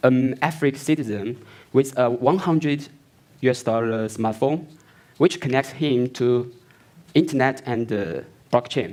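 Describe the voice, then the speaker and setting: A man's fairly slow speech in a non-native accent, with ordinary pitch variation and long, frequent pauses. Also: medium pitch for a man. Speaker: company founder and CEO presenting. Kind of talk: product launch keynote presentation. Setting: stage with audience at launch event. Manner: halting.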